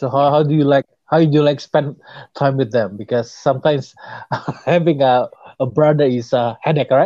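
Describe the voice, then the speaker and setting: A man's fairly high, dark and mellow voice with an Indonesian accent, fairly even in intonation at a moderate pace, with long, frequent pauses and a dry, close sound with no echo. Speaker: podcast host, stroke survivor. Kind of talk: interview. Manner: halting.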